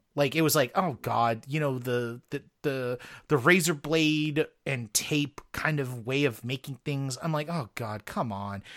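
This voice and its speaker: A normal speaking voice talks at a fairly slow pace with ordinary pitch variation, the sound dry and close with no echo. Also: man, fairly high pitch for a man, very clean recording, silent background. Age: 40s. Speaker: podcast co-host. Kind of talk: casual chat.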